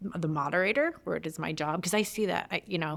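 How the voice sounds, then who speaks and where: A woman with an American accent, fairly low in pitch, with lively intonation. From Michigan, outside Detroit. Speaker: writer and community founder. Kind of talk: podcast interview. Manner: fast; fumbles words when excited.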